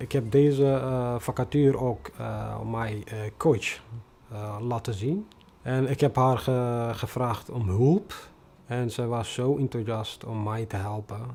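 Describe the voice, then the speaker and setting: Very slowly, a man with a non-native accent speaks at medium pitch in a dark, mellow tone with fairly even intonation. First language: non-Dutch (speaking Dutch). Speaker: refugee newcomer, bus driver. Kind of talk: personal testimony interview. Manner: halting, many hesitations.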